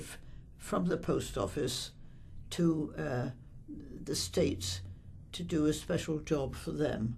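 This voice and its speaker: Speaking at a very slow pace, a woman is heard. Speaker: bank depositor. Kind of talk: interview answer.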